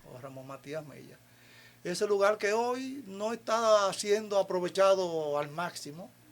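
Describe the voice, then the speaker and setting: A man's high-pitched voice at a fairly slow pace, with lively intonation and big swings in loudness, on a very clean recording with a silent background. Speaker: community leader. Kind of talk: interview.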